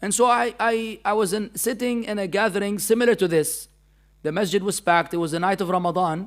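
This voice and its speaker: The recording is very clean, with a silent background. A man with an Arabic accent talks at a fairly quick pace with ordinary pitch variation. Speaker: Islamic teacher. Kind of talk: religious lecture. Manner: animated.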